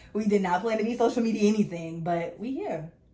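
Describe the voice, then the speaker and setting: Noticeable background noise runs under this recording. A woman talks at a fairly quick pace, at a medium pitch with ordinary pitch variation. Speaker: podcast co-host. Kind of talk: casual chat. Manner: fast.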